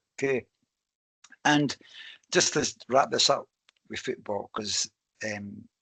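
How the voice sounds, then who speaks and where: A man with a Scottish accent at a very slow pace, with long, frequent pauses, a dry, close sound without echo and a quiet background. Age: 60s. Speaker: podcast host. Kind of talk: casual interview chat.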